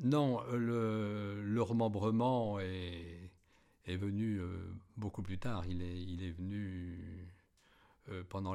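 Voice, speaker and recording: With a very deep, low pitch and a dark, mellow tone, a man talks at a very slow pace with fairly even intonation and long, frequent pauses. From France, Aube (Champagne, near Les Riceys). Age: 70s. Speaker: retired champagne winegrower. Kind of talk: oral history interview. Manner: halting, many hesitations and repetitions.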